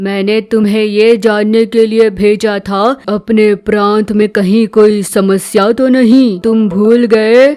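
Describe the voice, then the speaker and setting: A female-sounding cartoonish character voice, pitched fairly high for a woman, talks at a fairly slow pace with hardly any pauses. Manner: authoritative, measured.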